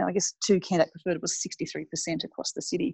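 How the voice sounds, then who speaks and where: Speaking at a fairly quick pace, a woman with an Australian accent uses a fairly low pitch and ordinary pitch variation. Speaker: city mayor, former army officer and IT professional. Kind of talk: interview. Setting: phone or remote call.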